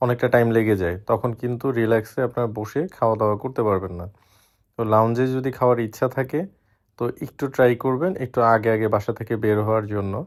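In a very clean recording with a silent background, an unremarkable speaking voice keeps a fairly even intonation. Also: man, medium pitch for a man. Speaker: travel vlogger, father. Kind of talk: travel vlog, tips to viewers.

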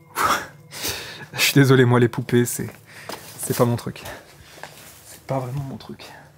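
A man with a medium-pitched voice speaks at a fairly slow pace in a monotone, flat intonation, with big swings in loudness, long, frequent pauses, and light background noise. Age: 30s. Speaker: urban explorer YouTuber. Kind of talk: vlog narration while exploring. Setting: outdoors and abandoned house. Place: home room. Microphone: phone near.

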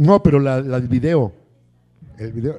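A man talks at a moderate pace, the background around him quiet. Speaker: talk show host. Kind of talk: interview show hosting, casual. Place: studio. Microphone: handheld.

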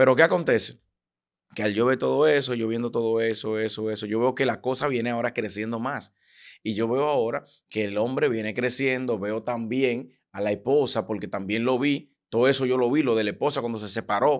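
In an ordinary speaking voice, a man talks at a medium pitch and fairly quick pace with fairly even intonation against a quiet background. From Dominican Republic. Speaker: preacher and prophet; preacher. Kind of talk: interview conversation. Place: studio. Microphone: studio mic.

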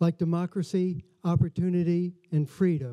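In a quiet background, a man's high-pitched voice carries a dark, mellow tone. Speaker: museum host. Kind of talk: formal welcome speech. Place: hall. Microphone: podium.

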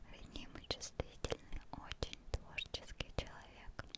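Whispering softly at a very slow pace, a woman comes through dry with no echo over loud background noise. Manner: soft whisper close to microphone. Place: home room. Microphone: studio mic.

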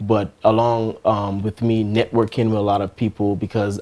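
This man speaks at a fairly low pitch. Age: young. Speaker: R&B singer; interviewee. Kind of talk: interview. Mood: earnest, reflective. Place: studio.

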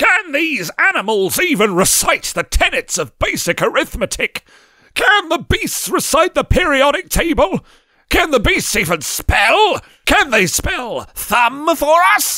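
A put-on character voice from a man, shrill and extremely high-pitched, raised and projected, with a pompous tone at a fairly slow pace. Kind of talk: archaic biblical pronouncement. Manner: shrieking, indignant, pompous.

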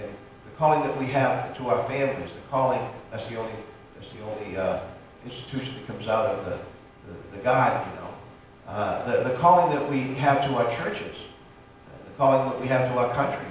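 A man speaks at a fairly quick pace with fairly even intonation. There is strong room echo and light background noise. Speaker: pastor. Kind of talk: sermon. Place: church.

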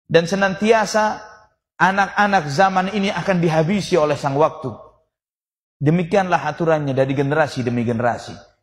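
Speaking at a moderate pace, a man has lively intonation. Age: 40s. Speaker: Islamic preacher. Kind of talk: sermon. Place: hall. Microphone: podium.

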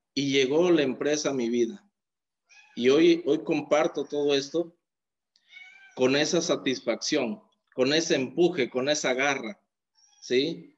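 This man's pitch is fairly high, with ordinary variation. He speaks at a very slow pace. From Mexico, Oaxaca coast; Oaxaca, Mexico. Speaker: network marketing distributor. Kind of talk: testimony. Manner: animated. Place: home room. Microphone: phone near.

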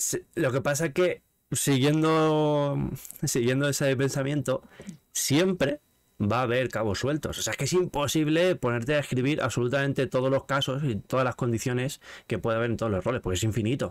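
A man speaks in a normal speaking voice at a medium pitch and a moderate pace. His pitch variation is ordinary, and the background is quiet. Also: very even loudness. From Spain. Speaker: gaming streamer and interview host; gaming streamer, interview host. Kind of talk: casual interview chat. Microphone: studio mic.

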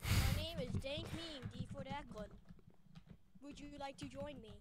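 A put-on character voice sounds robotic at a fairly slow pace. Loud background noise is present.

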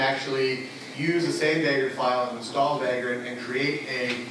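Strong room echo surrounds a man speaking at a moderate pace with fairly even intonation over light background noise. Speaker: conference presenter. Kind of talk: technical talk. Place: hall. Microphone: camera far.

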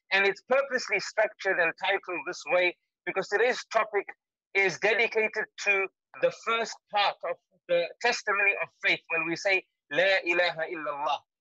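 A raised, projected voice with a bright, sharp tone comes at a moderate pace with ordinary pitch variation, in a dry sound with no echo against a quiet background. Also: man, high pitch for a man. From Zimbabwe. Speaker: Islamic scholar and teacher. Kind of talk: online lecture. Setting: webinar broadcast from home during lockdown. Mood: earnest, somber. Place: home room. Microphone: webcam.

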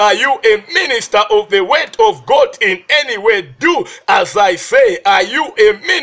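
A man speaks at a fairly slow pace. There is noticeable background noise behind him. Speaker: preacher. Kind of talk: sermon.

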